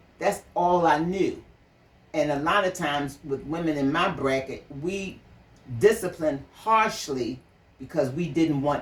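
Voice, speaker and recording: With lively intonation, this woman talks at a fairly slow pace. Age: 70s. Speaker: mother sharing parenting views. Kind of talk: conversational interview.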